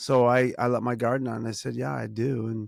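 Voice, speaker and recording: With an American accent, a medium-pitched man speaks in a flat monotone. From Boston, Massachusetts. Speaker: podcast co-host. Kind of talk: casual chat.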